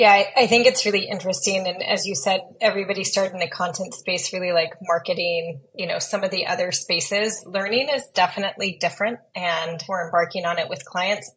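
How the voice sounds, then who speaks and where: A woman speaks at a fairly quick pace with hardly any pauses and ordinary pitch variation. Light background noise sits behind her. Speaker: podcast guest. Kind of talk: interview answer. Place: home room. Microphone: earbuds.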